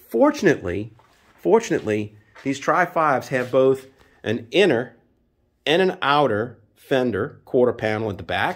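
A man at a moderate pace with very wide pitch swings. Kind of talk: casual workshop explanation. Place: garage. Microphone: phone near.

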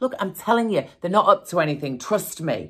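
A woman with vocal fry and lively intonation at a fairly quick pace over a quiet background. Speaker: actor playing a mother on the phone. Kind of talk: acted one-sided phone call monologue. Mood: annoyed, defensive, sarcastic. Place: studio.

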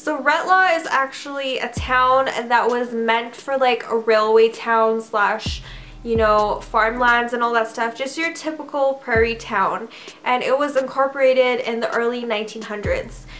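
A woman speaks high and at a fairly slow pace. Faint music plays in the background. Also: ordinary pitch variation. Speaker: vlogger. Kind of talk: casual vlog chat. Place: home room. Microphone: camera far.

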